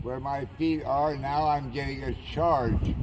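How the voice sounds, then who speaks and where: With audible room echo and noticeable background noise, a man speaks at a fairly slow pace with fairly even intonation. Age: 80s+. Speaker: anchorage community preacher. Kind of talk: informal sermon. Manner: impassioned.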